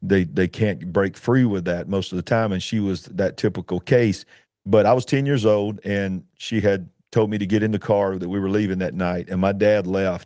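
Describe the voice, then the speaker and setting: Over a quiet background, a man talks at a moderate pace in a fairly low pitch with fairly even intonation. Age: 50s. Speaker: author. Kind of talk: testimony. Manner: emotional; halting.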